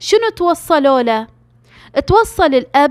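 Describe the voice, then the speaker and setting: A woman speaks with a Gulf accent at a high pitch and a fairly slow pace, her pitch swinging very widely. The recording is very clean with a silent background, and the sound is dry and close with no echo. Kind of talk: true crime story narration. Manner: casual storytelling.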